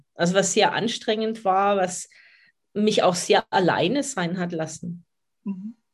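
Breaking often into long pauses, a woman speaks at a very slow pace in a somewhat breathy voice. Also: medium pitch for a woman, ordinary pitch variation. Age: 50s. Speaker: dog coach. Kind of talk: podcast interview.

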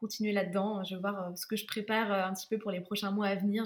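A woman at medium pitch talks at a fairly quick pace. Her intonation is flat and monotone. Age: 20s. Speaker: content creator. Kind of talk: interview, casual chat.

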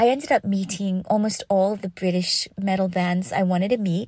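A somewhat breathy woman of medium pitch speaks at a moderate pace in a dark, mellow tone with fairly even intonation, in a very clean recording with a silent background and a dry, close sound with no echo. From Canada. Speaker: guest sharing story. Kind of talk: interview.

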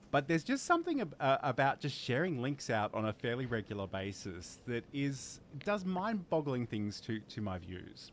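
With an Australian accent, a man at medium pitch talks at a moderate pace with hardly any pauses and very wide pitch swings, on a very clean recording with a silent background. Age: 40s. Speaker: livestreaming show host. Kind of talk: casual chat. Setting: live stream.

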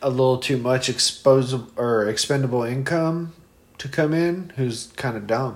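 A man's ordinary speaking voice at medium pitch, moderate pace and ordinary pitch variation. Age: 30s. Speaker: podcast co-host. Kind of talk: casual chat while drinking beer.

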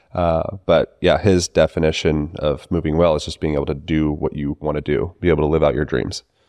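A man talks at a fairly quick pace with a very deep, low pitch and a dark, mellow tone touched by vocal fry. His intonation is fairly even, and the sound is dry and close with no echo. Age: 30s. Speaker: movement coach and manual therapist. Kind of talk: casual chat.

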